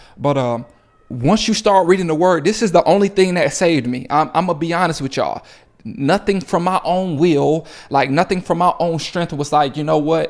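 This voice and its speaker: A man's high-pitched voice, animated in tone, with ordinary pitch variation. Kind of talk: motivational faith talk to camera. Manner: fast.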